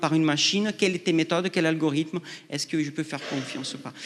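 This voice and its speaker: Against a quiet background, a man with a non-native accent speaks at a high pitch for a man with ordinary pitch variation. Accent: foreign. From outside France. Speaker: researcher. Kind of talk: panel discussion. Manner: halting.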